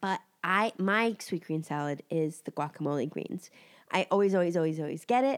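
On a very clean recording with a silent background, a woman with a fairly low pitch and a nasal voice talks at a fairly quick pace with lively intonation. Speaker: podcast co-host. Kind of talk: casual chat.

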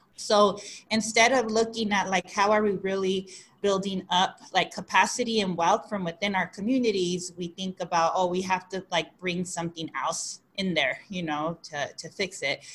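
A woman speaks with fairly even intonation over noticeable background noise. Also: medium pitch for a woman, moderate pace. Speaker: podcast co-host. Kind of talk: podcast interview.

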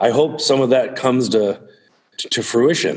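A man speaks at medium pitch and a fairly slow pace. He has a plain, everyday voice. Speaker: podcast host. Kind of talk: casual conversational podcast discussion.

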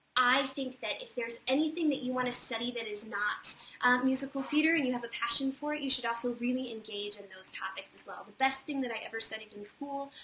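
Noticeable background noise sits behind a woman speaking at a high pitch. Her pace is fairly quick, with ordinary pitch variation. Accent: American. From Virginia, near Charlottesville. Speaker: theater industry advisor hosting weekly Q&A. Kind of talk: casual advice livestream. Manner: many fillers (um, uh).

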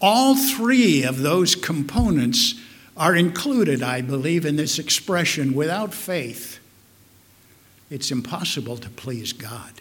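In a Midwestern American accent, a man talks at a very slow pace and fairly high pitch, with very wide pitch swings and big swings in loudness, amid audible room echo. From US Midwest, Omaha, Nebraska. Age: old. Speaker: pastor. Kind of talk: sermon.

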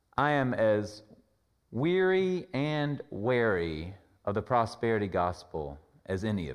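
A man with an American accent speaks at a fairly slow pace, with very wide pitch swings and big swings in loudness over a quiet background. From US South, Carolinas. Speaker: pastor. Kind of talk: sermon.

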